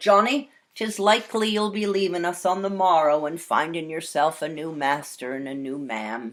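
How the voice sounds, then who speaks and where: A rumbling, put-on character voice at a middle pitch talks at a moderate pace. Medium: read story. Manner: grumbling.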